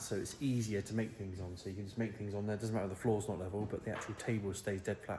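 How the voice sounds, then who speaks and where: Very fast and with hardly any pauses, a man talks in a fairly low, somewhat breathy voice. His intonation stays fairly even. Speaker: fabricator, workshop builder. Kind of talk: workshop tutorial, casual chat. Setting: workshop. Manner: quiet, low-energy; casual, chatty.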